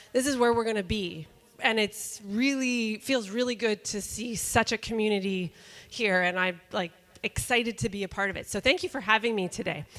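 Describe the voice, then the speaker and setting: A woman with a fairly high voice speaks with a slight Canadian accent. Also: ordinary pitch variation, moderate pace. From Canada, Calgary Alberta. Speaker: workshop presenter. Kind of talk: workshop presentation.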